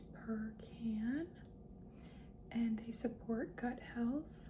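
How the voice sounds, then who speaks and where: Over noticeable background noise, a soft-spoken voice moves at a very slow pace with monotone, flat intonation. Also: woman. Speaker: ASMR content creator. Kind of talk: soft-spoken ASMR talk to camera. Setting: close-mic recording with tapping sounds. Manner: soft-spoken, slow, repetitive.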